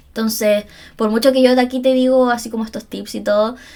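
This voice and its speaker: A woman talks at a fairly quick pace. Her fairly high voice keeps a monotone, flat intonation. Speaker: psychologist and podcast host. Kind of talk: solo podcast monologue. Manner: fast.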